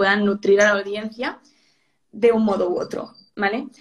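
In a Spanish accent, a woman talks with monotone, flat intonation. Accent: Peninsular Spanish. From Spain. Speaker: social media manager. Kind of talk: interview on a live stream.

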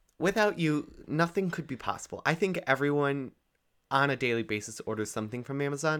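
A man with fairly high pitch talks at a fairly quick pace with lively intonation in an ordinary speaking voice. The recording is very clean with a silent background. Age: young. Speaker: podcast co-host, recent high school graduate. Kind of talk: casual chat. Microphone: new microphone.

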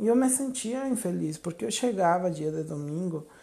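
A man's high-pitched voice, dark and mellow in tone, with very wide pitch swings at a moderate pace over a quiet background. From Mexico. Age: 30s. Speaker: preacher. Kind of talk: devotional talk.

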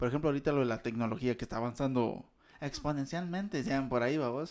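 A man speaks with a Guatemalan accent and ordinary pitch variation. The recording is very clean, with a silent background. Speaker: podcast co-host. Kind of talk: casual chat.

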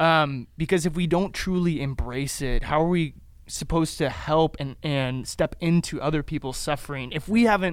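A plain, everyday voice from a man at fairly high pitch, with a moderate pace, ordinary pitch variation and a very clean recording with a silent background. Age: 20s. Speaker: youth ministry podcast co-host. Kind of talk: casual chat.

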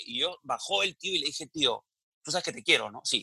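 A man's raised, projected voice, bright and sharp in tone, at a fairly quick pace with a dry, close sound and no echo. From Peru, provinces. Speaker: comedian and businessman. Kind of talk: casual interview.

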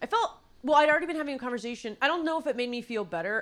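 Speaking with a Californian accent, a woman with a bright, sharp tone and lively intonation is heard in a very clean recording with a silent background. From Los Angeles, San Fernando Valley. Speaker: writer and producer. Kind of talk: casual chat.

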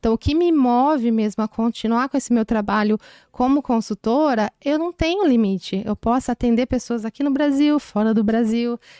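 A woman with a high pitch speaks at a moderate pace, her loudness very even and her pitch varying in an ordinary way. The sound is dry and close with no echo, in a very clean recording with a silent background. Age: 30s. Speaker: HR consultant. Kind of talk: interview.

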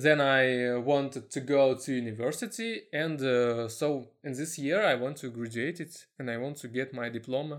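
On a very clean recording with a silent background, a man with a Russian accent speaks with hardly any pauses. His pace is moderate, his pitch medium and his pitch variation ordinary. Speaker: web marketer. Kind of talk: casual chat. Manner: halting.

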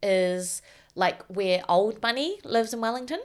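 A woman speaks with a New Zealand accent. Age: 30s. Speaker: writer and software developer. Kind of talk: casual chat.

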